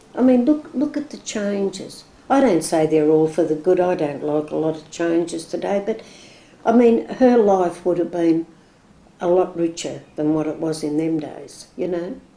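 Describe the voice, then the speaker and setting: A woman with a strong Australian accent, fairly low in pitch, with a dark, mellow tone and lively intonation at a moderate pace. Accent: broad Australian. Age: 60s. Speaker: oral history interviewee. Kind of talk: oral history interview. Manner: hesitant, repetitive.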